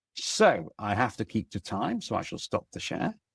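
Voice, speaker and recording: Here a man speaks at a moderate pace with a British accent. The sound is dry and close, with no echo. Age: 60s. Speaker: AI consultant and webinar speaker. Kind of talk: webinar presentation.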